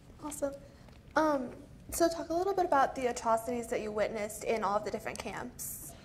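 Over light background noise, a woman with a high voice speaks very fast with lively intonation. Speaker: student interviewer. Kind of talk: interview. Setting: stage with audience. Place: hall.

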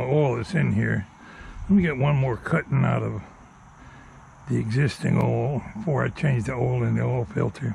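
A moderate pace, light background noise, and a dry sound with no echo. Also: man. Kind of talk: casual vlog chat. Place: street. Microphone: phone near.

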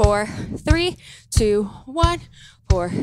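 Over music in the background, a woman speaks in a dry sound with no echo. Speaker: fitness instructor. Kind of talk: workout instruction cues. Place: gym. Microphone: headset.

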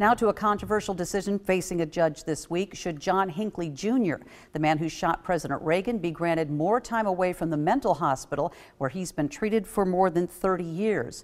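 In a very clean recording with a silent background, a woman with a plain, everyday voice speaks at a fairly low pitch and a moderate pace. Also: ordinary pitch variation. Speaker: news anchor. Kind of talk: news reading, polished broadcast anchor delivery. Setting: studio. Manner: formal, steady, even-paced.

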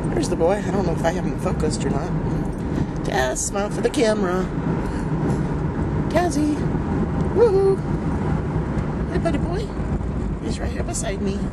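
The speaker talks at a fairly quick pace against loud background noise. The sound is dry, with no echo. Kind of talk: casual vlog chat. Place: car. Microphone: phone near.

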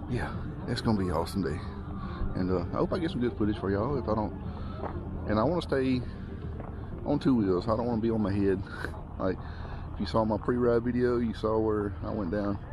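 Very fast speech from a man at fairly low pitch, ordinary pitch variation, a dry sound with no echo and music in the background. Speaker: mountain bike vlogger. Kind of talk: casual vlog chat. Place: open country. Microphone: phone near.

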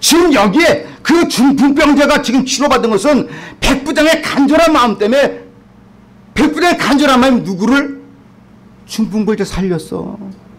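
A man talks in an extremely high pitch with an animated tone. His intonation is lively and his pace moderate. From South Korea. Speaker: pastor. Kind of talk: sermon. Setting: church. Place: church. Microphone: podium.

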